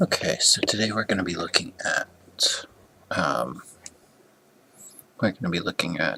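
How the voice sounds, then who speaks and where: A quiet man's voice at a fairly slow pace, against noticeable background noise. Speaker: esports coach reviewing gameplay. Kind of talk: gameplay review commentary. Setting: at home late at night. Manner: halting, many fillers.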